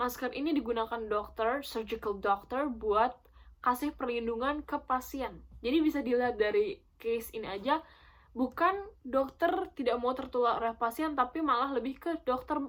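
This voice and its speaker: A woman talks at a high pitch with ordinary pitch variation. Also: moderate pace. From Netherlands. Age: young. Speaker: YouTuber. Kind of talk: casual talk to camera.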